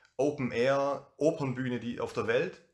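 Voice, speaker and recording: At a fairly slow pace, a man with a fairly high pitch speaks in a plain, everyday voice. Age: 30s. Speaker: youth worker and DJ. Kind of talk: casual conversation.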